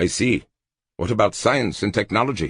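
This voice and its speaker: A man speaks at a moderate pace in a gruff, put-on character voice, medium in pitch with ordinary pitch variation. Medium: read story. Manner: gruff, sardonic.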